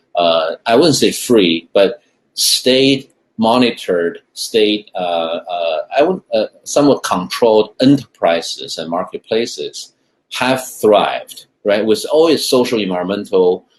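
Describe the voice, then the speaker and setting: A man with a strong Chinese accent at a fairly slow pace. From China. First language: Mandarin Chinese. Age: 50s. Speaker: food technology investor. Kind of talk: interview. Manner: halting, many repetitions and fillers.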